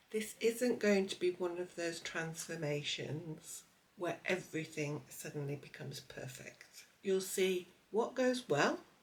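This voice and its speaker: Speaking at a fairly slow pace with lively intonation, a woman uses an unremarkable speaking voice pitched fairly low. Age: 60s. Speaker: lifestyle vlogger. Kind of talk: personal vlog narration.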